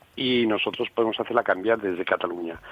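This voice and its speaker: A fairly low-pitched man talks while noticeable background noise carries on around him. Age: 60s. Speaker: regional parliament member. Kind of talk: radio interview.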